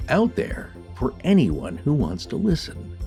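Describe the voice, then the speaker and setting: A man's voice swings very widely in pitch while music plays in the background. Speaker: podcast co-host. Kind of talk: podcast episode intro narration.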